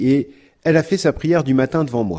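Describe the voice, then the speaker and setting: A man with a dark, mellow tone at a fairly quick pace, on a very clean recording with a silent background. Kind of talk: podcast talk on prayer. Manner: fast.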